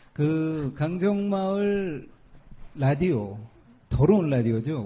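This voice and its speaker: The voice has a dark, mellow tone and is somewhat breathy. Its pitch swings very widely. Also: man. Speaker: activist radio host. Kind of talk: casual chat. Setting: outdoors at construction site gate.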